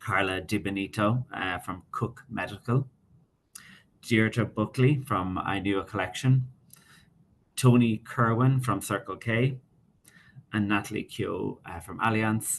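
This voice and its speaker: In an Irish accent, a man speaks with a fairly low pitch and fairly even intonation. Long pauses come often. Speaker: webinar moderator. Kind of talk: panel moderation. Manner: fast.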